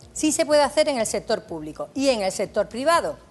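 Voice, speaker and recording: Very wide pitch swings in a high female voice, at a moderate pace. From Andalusia, Jerez. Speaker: judge, labour law expert. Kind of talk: TV Q&A, expert explanation.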